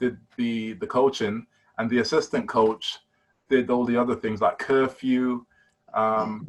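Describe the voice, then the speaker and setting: In a very clean recording with a silent background, a man speaks with a British accent. His pace is fairly slow and his pitch medium. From London, East London. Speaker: basketball player. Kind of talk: casual interview.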